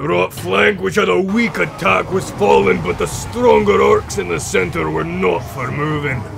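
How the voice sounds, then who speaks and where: Over clear background noise, a man uses a put-on character voice, speaking at a moderate pace and a fairly low pitch. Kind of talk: epic war-tale narration. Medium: machinima. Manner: proud, gruff storytelling.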